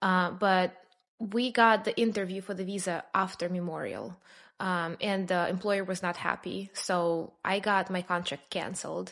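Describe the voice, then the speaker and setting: Flat, monotone intonation from a woman with a Russian accent, at a fairly slow pace over a quiet background. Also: medium pitch for a woman. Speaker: immigrant sharing her story. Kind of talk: podcast interview.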